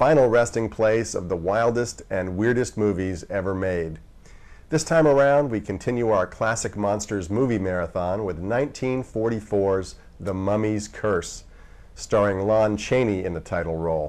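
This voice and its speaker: A man with a normal speaking voice talks at a moderate pace, with a fairly low pitch and ordinary pitch variation. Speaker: horror movie TV host. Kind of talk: TV horror host intro and outro. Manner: sardonic, wry.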